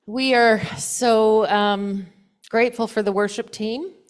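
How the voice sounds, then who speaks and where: A woman's medium-pitched voice with fairly even intonation, in a very clean recording over a silent background. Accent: Canadian. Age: 60s. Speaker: church presiding officer. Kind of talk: meeting announcements. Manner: halting.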